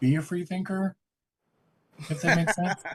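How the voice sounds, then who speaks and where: A man with an American accent. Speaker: graduate student. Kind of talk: class discussion. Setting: classroom.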